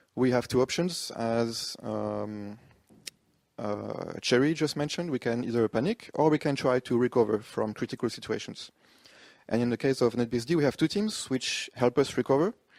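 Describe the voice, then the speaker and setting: On a very clean, dry, close recording with a silent background and no echo, a man with a French accent talks at a moderate pace and medium pitch with ordinary pitch variation. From France. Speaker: conference speaker, software developer. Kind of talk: conference talk. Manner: hesitant, many fillers.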